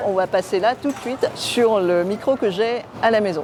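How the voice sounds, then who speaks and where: At a fairly slow pace, a woman talks in a fairly high pitch with ordinary pitch variation over noticeable background noise. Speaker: tech youtuber. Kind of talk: product review. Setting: at home. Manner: soft-spoken.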